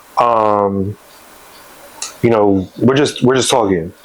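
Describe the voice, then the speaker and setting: This man talks very slowly while noticeable noise sounds in the background. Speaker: YouTuber telling personal stories. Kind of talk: storytime monologue. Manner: casual, many fillers and restarts.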